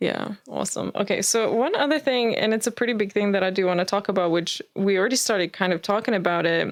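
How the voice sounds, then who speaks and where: A woman with a non-native accent speaks at a very fast pace with hardly any pauses, medium pitch, ordinary pitch variation and very even loudness, in a very clean recording with a silent background. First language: not English. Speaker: podcast co-host. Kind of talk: casual chat.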